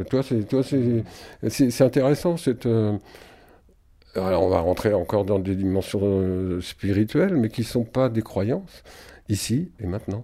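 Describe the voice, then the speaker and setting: A man's fairly low voice at a fairly slow pace, with lively intonation and long, frequent pauses. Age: 60s. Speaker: musician and singer. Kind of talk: interview. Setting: at his home. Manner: halting.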